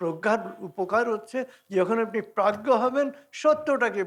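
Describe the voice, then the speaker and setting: His pitch moves in very wide swings. The speaker is a man. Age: old. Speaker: spiritual teacher. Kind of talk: motivational talk.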